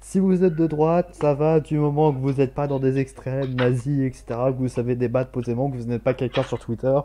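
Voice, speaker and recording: At a fairly quick pace with hardly any pauses, a man of medium pitch speaks in a dark, mellow tone. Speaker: talk show co-host. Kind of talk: casual chat.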